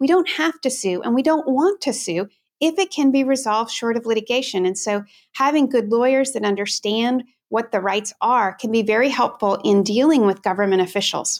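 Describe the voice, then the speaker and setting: A woman with an American accent and a fairly high pitch speaks in a plain, everyday voice with lively intonation. The recording is very clean with a silent background. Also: fairly quick pace. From Washington State, US. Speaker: lawyer, head of a legal advocacy organization. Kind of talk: interview.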